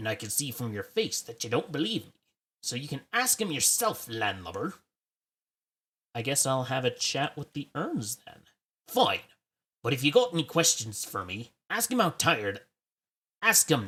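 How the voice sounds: A man's gruff, put-on character voice at a fairly high pitch, with very wide pitch swings, a moderate pace and long, frequent pauses.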